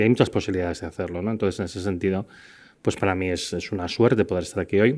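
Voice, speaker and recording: The background is silent on this very clean recording. In it, a man talks very fast. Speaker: scientist giving a university lecture. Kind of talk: lecture. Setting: university lecture hall with audience. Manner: hesitant, many fillers.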